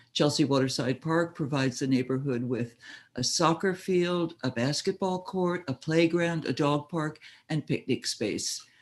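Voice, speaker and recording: Over a quiet background, a plain, everyday voice moves at a moderate pace with ordinary pitch variation. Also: man, fairly high pitch for a man. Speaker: community member presenting a street co-naming request. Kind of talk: reading a prepared presentation. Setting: video call.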